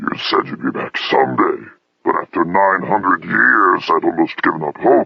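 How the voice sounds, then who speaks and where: A man's put-on character voice, extremely high-pitched, growling and gruff, at a moderate pace. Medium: read story. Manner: gruff, growling.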